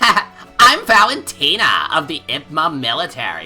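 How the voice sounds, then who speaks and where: Over faint background music, a put-on character voice speaks at a middle pitch and a moderate pace. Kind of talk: theatrical character voice. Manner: exaggerated, obnoxious.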